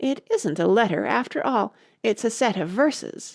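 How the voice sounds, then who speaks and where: In a put-on character voice, a female-sounding speaker goes at a moderate pace, fairly high-pitched and raspy, on a very clean recording with a silent background. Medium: read story. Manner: hurried, deferential.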